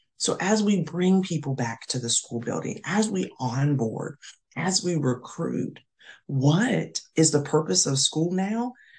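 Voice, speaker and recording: An American-accented woman talks at a fairly slow pace with a very deep, low pitch and very wide pitch swings. Her somewhat breathy voice has an animated tone. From US South, North Carolina. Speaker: school administrator and professor. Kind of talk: casual interview.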